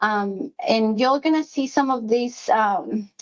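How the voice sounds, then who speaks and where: A woman with a Spanish accent speaks in a fairly high pitch. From Mexico City, moved to US at fifteen. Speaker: executive assistant. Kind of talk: workplace presentation. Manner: hesitant, many fillers.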